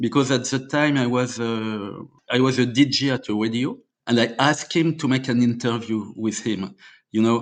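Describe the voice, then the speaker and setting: In a French accent, a man speaks at a moderate pace and medium pitch with ordinary pitch variation. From France, Normandy. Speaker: indie rock musician. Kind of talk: interview storytelling. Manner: halting, many fillers.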